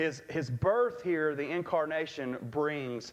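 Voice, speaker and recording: A man talks, his intonation lively. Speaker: pastor. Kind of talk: sermon. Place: church.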